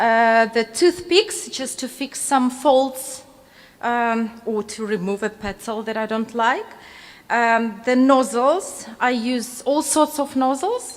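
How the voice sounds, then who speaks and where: In a non-native accent, a woman speaks at a very slow pace and a high pitch. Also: ordinary pitch variation. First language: not English. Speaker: cake decorating instructor. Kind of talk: live demonstration tutorial. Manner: halting, many fillers.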